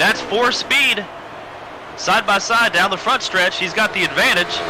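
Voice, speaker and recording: In an American accent, a man with a high pitch talks at a fairly slow pace, his intonation fairly even and his loudness very even, over noticeable background noise. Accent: southern accent, comes out sometimes. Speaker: sim racing commentator. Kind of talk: live commentary.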